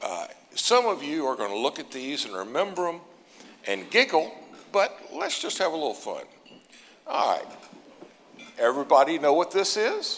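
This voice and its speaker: A man keeps a moderate pace, broken by long, frequent pauses, while noticeable background noise carries on. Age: 60s. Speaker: industry analyst, keynote speaker. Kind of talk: keynote speech.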